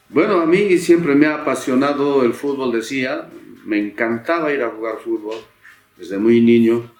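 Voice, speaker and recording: A fairly high-pitched man at a moderate pace, with music in the background. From Bolivia, Cochabamba (Mizque province, rural). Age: 60s. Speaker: singer-songwriter. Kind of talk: autobiographical storytelling. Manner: casual, hesitant with fillers.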